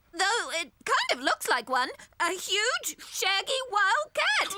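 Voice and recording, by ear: This cartoonish character voice sits at an extremely high pitch and swings very widely in pitch. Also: fairly slow pace.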